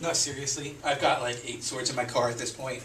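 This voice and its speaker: Amid noticeable background noise and audible room echo, a man talks at medium pitch and a fairly quick pace. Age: 40s. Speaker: stand-up comedian and show producer. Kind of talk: stand-up; casual chat. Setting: stage with audience.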